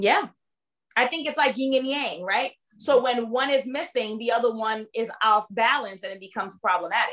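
With a New York accent, a woman speaks in a passionate tone at a fairly high pitch, with ordinary pitch variation. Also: moderate pace. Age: 30s. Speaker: dating and relationship coach. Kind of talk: interview. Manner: not soft-spoken.

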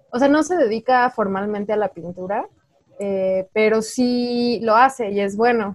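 Fairly high in pitch, a woman talks at a fairly slow pace with ordinary pitch variation. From Mexico, Guanajuato. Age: 20s. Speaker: painter. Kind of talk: casual chat. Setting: remote call recording.

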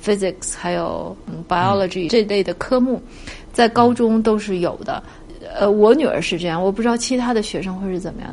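A woman with a medium pitch speaks with ordinary pitch variation amid noticeable background noise. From China. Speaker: parent of university student. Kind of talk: interview. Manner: hesitant, with many fillers.

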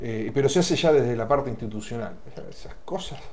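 Audible room echo surrounds a man talking at a fairly quick pace, his medium pitch showing ordinary variation. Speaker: talk show host. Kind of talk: casual chat.

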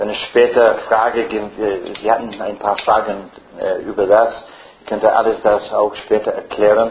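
A man with an English accent speaks fairly slowly in a fairly low, flat monotone. Noticeable background noise and audible room echo fill the recording. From Ireland. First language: English (speaking German). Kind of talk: lecture.

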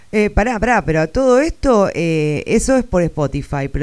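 A very clean recording with a silent background holds the speech. Its pace is moderate. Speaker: radio host. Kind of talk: casual chat.

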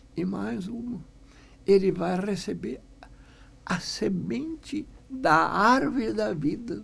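Speaking very slowly with a German accent, the voice leaves long, frequent pauses. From Rio Grande do Sul, Brazil (Estrela, German-speaking rural area). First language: German (speaking Portuguese). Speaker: business founder and executive. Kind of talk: radio interview.

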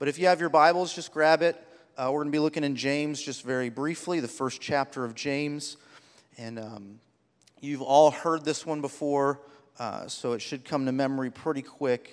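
This man has a plain, everyday voice with fairly high pitch, fairly even intonation and a moderate pace. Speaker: church preacher. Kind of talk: sermon.

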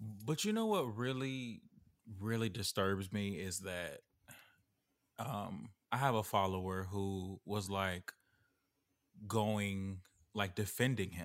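At a very slow pace with long, frequent pauses, the speech comes through a very clean recording with a silent background. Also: man, fairly low pitch for a man, ordinary pitch variation. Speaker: podcast co-host. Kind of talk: casual chat.

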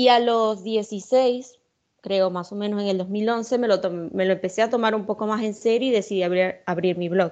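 In a normal speaking voice, a woman talks at a moderate pace and medium pitch with fairly even intonation over a quiet background. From Venezuela, Maracaibo. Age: 20s. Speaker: poet and journalist. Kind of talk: interview.

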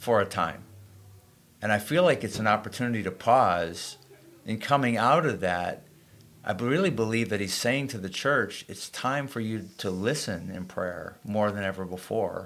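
At a moderate speed, a normal speaking voice moves through ordinary shifts in pitch. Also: man, fairly low pitch for a man. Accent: American. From Springfield, Massachusetts. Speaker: pastor. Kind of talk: casual chat.

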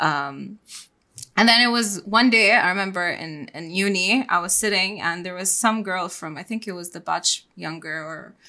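A woman's voice has a bright, sharp tone and big swings in loudness. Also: medium pitch for a woman, ordinary pitch variation, moderate pace, very clean recording, silent background. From Bahrain. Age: 20s. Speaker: psychotherapist and hypnotherapist. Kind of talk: casual interview chat.

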